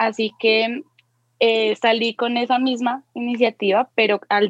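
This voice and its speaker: A plain, everyday voice from a woman, pitched fairly high, its intonation fairly even. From Colombia. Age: 20s. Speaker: tattoo artist. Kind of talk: interview chat.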